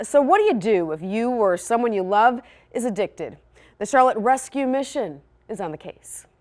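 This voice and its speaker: This woman has a plain, everyday voice, fairly high in pitch and lively in intonation, at a moderate pace. Her loudness swings a lot in a very clean recording with a silent background. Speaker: TV news anchor and reporter. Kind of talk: TV news anchor delivery. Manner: polished, clear, professional.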